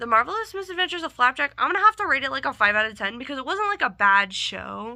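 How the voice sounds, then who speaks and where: A woman speaks at a very fast pace in a high, raised, projected voice with hardly any pauses. Her pitch swings very widely. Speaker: YouTuber rating cartoons. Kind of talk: casual vlog commentary.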